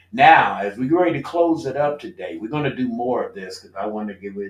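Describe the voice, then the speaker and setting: Over noticeable background noise, a man talks in an animated tone. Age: old. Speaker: radio show host and former student. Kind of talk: casual interview chat. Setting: live-streamed radio studio show.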